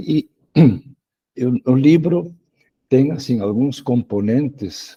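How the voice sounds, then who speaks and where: Lively in intonation but very slow in pace, a man talks with a dark, mellow tone. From Spain. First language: Spanish (speaking Portuguese). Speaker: education professor and author. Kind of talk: online lecture. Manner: halting, frequent repetitions.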